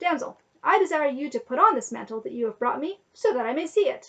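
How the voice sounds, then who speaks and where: A put-on character voice races along at a very fast pace. Its pitch swings very widely. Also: woman, high pitch for a woman. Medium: read story. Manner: commanding.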